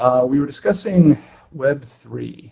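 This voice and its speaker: Quietly, a man speaks at a fairly slow pace. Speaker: conference speaker answering questions. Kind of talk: live Q&A. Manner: hesitant, many fillers.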